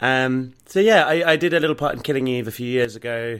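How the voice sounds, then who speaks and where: A man with a southern English accent speaks at medium pitch and a moderate pace. The recording is very clean, with a silent background. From southern England, rural Hampshire. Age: 30s. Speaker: actor and writer. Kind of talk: interview, personal story. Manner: hesitant, many fillers.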